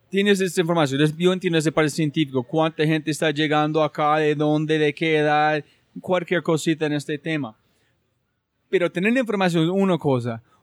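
A man with an ordinary speaking voice talks at a fairly quick pace, his fairly high pitch showing ordinary variation and his loudness very even. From United States. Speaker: podcast host. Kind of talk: interview conversation.

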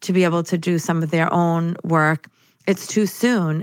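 Over a very clean recording with a silent background, a speaker with an American accent talks in a monotone, flat intonation. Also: woman. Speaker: spirit medium. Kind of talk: casual interview chat.

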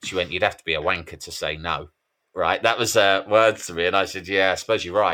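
A man with an English accent talks very fast in a very deep, low pitch with fairly even intonation. His tone is bright and sharp, in a very clean recording with a silent background. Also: big swings in loudness. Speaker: mental health author. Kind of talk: interview.

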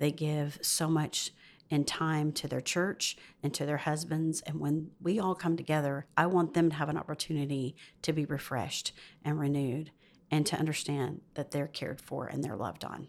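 In a Southern US accent, a woman with a very deep, low pitch talks at a moderate pace with fairly even intonation, in a very clean recording with a silent background. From US South. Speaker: pastor's wife. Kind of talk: casual interview chat.

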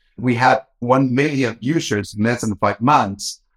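Here a man has an unremarkable speaking voice at a medium pitch. His pitch variation is ordinary, and the sound is dry and close with no echo. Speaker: bank executive. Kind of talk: interview.

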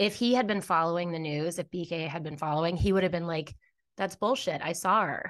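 A woman with an American accent talks at a fairly quick pace in an ordinary speaking voice, fairly low in pitch. Her pitch variation is ordinary, and the background is quiet. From Virginia, New Jersey. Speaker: podcast host, guest. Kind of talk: casual chat.

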